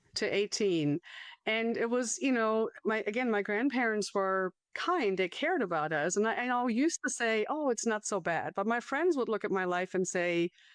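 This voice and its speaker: A woman with a German accent speaks at a fairly high pitch and a moderate pace, her pitch swinging very widely while her loudness stays very even. The sound is dry and close with no echo, over a quiet background. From Germany, small town north of Frankfurt. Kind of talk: testimony interview.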